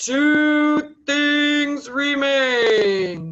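A loud, put-on character voice. The pitch sits high.

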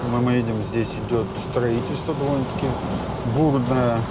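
Pitch varies in an ordinary way while loud background noise runs underneath. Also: man. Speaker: travel vlogger. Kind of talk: casual travel commentary. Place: car. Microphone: lapel.

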